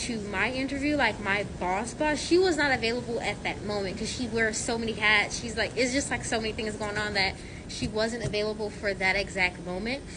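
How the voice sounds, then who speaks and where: The speech has ordinary pitch variation and hardly any pauses, with audible room echo and noticeable background noise. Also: woman. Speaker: sterile processing technician. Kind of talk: casual vlog answering viewer questions. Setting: at work. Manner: loud; rambling, halting with fillers.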